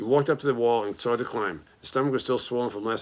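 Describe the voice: What the speaker does here is plain reading aloud.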